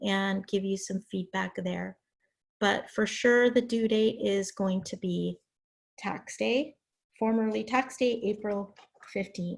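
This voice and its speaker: Her voice carries a somewhat breathy quality. The woman takes her words at a fairly slow pace. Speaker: college English instructor. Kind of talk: online class lecture. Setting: video call.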